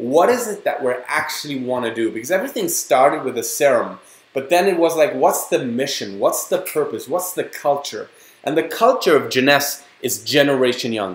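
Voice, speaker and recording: A man with a German accent speaks at a moderate pace in an animated tone. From Germany. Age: 30s. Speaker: network marketing distributor. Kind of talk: sales pitch. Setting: online webinar.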